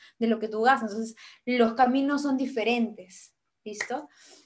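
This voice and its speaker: A woman speaks in a high voice. The background is quiet. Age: 20s. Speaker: medical student and nutrition content creator; nutrition content creator. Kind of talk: online lecture.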